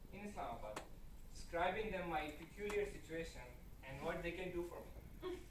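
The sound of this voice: A man with lively intonation at a moderate pace, with audible room echo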